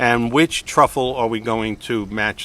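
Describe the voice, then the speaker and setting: Someone speaks with an American accent at a fairly slow pace. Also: man. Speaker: realtor and video host. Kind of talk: casual chat. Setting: winery. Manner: animated.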